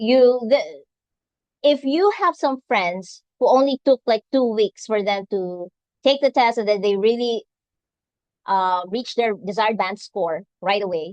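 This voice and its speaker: A woman in a Filipino accent, fairly high in pitch, lively in intonation and fairly slow, with a dry, close sound and no echo. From Philippines, Visayas. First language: Visayan. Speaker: nurse and English exam tutor. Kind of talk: webinar talk. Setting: live event streamed on video call.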